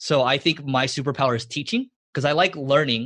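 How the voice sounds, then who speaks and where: Against a quiet background, a man talks in a fairly high voice. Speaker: marketing agency CEO and podcaster. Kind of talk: podcast interview. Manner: fast; intense.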